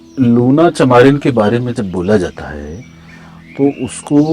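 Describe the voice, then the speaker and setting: Music runs in the background. A man speaks with lively intonation at a fairly low pitch. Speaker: spiritual guru and storyteller (aghori mystic). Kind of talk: spiritual discourse / interview answer.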